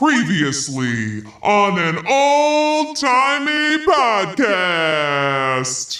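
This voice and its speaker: In a put-on character voice at middle pitch, the speaker goes at a very slow pace with very wide pitch swings. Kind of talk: dated, theatrical.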